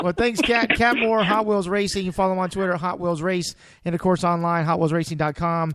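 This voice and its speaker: Someone with an American accent talks at a fairly quick pace with ordinary pitch variation. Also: man. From Texas, San Antonio. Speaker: radio sports show host. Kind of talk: casual radio chat. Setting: studio.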